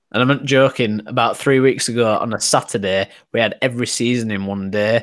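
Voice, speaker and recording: In a very clean recording with a silent background, a man talks at a fairly quick pace, his pitch medium and his intonation fairly even. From England. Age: 30s. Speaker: 3D printing hangout host. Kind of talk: casual chat.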